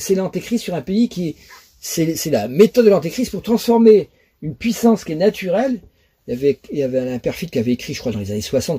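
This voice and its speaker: A man talks with a dark, mellow tone that is somewhat breathy. His pitch swings very widely against a quiet background. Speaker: astrology lecturer. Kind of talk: lecture. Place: home room. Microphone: webcam.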